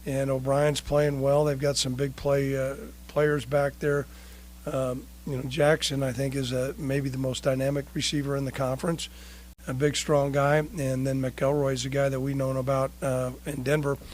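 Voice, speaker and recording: Speaking at a moderate pace, a man has a fairly high pitch. His intonation is monotone and flat. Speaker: football head coach. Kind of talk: press conference. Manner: hesitant with frequent fillers.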